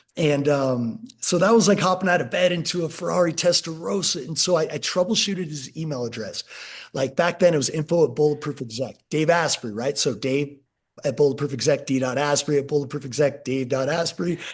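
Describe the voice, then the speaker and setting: A man speaks at a fairly quick pace in a fairly high, somewhat breathy voice with ordinary pitch variation. The background is quiet. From California. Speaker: skincare company founder. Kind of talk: podcast interview.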